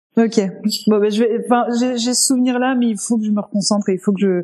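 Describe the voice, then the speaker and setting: This woman has a medium-pitched voice. It carries a dark, mellow tone. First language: not French (speaking French). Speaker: podcast co-host. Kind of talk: casual chat.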